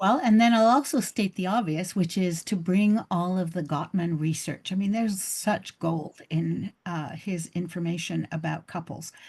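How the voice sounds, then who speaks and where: Over a quiet background, a woman with a Canadian accent speaks at a moderate pace with hardly any pauses, her fairly low, somewhat breathy voice showing ordinary pitch variation. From Canada. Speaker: couples therapist. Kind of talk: interview. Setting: video call.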